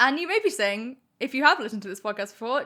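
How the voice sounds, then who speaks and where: Against a silent background in a very clean recording, a woman uses a raised, projected voice in a bright, sharp tone with very wide pitch swings. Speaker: podcast host. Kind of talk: casual chat. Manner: gets much louder when excited.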